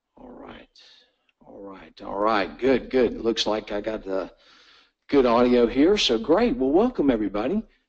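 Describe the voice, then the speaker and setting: A man at medium pitch, a normal speaking voice, a moderate pace, and big swings in loudness. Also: lively intonation. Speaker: webinar host. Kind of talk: casual introduction. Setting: online webinar.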